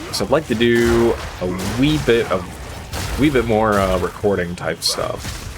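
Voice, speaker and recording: Music plays behind a man speaking at a medium pitch. He talks at a fairly slow pace with lively intonation. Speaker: gaming YouTuber and streamer. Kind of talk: gameplay commentary. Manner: loud; casual, with many fillers and repeats.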